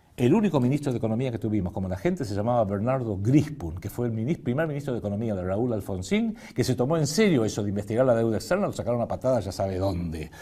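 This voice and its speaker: A man's dark, mellow tone at medium pitch, very fast and lively in intonation, in a very clean recording with a silent background. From Argentina. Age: 60s. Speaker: political economy commentator. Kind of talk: lecture with slides.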